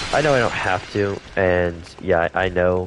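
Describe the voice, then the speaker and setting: Noticeable background noise behind a fairly low-pitched male voice. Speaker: gaming streamer. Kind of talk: live gameplay stream chat. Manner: casual, hesitant with fillers.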